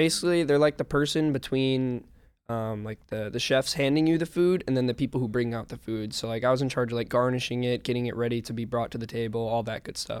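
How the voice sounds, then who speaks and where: Talking at a fairly quick pace, a man with a Midwestern American accent uses medium pitch and fairly even intonation. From Illinois suburbs. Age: 20s. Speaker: professional esports player. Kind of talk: casual interview.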